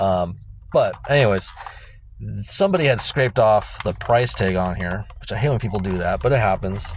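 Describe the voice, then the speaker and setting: Noticeable background noise sits behind a man speaking at a moderate pace. His pitch is fairly low and varies in an ordinary way. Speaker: toy reseller vlogger. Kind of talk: casual vlog talk. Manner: hesitant, many fillers.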